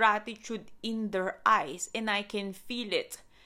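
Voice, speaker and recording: A woman with a non-native accent and a bright, sharp tone speaks at a fairly slow pace in a very clean recording with a silent background. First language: not English. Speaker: wellness podcast host. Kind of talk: motivational talk with guided breathing. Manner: warm, effusive.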